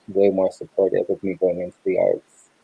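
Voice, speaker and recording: A man with a Toronto accent, fairly low in pitch, fairly quick, monotone and flat, in a dry sound with no echo. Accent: Canadian (Toronto). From Canada, raised in Brampton, Ontario; Ontario, Canada. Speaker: filmmaker and photographer; interview guest. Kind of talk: interview. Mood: relaxed, friendly. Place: home room. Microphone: video call.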